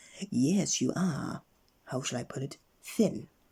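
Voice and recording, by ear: Doing a put-on character voice, a man sounds wheezy and breathy, with a fairly high pitch, lively intonation, and a fairly slow pace.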